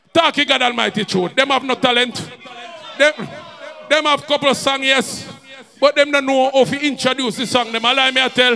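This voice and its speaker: A man's raised, projected voice at an extremely high pitch, fairly quick pace and long, frequent pauses, amid noticeable background noise. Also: fairly even intonation. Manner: aggressive, trash-talking, profanity-heavy; hyped, shouting over the crowd.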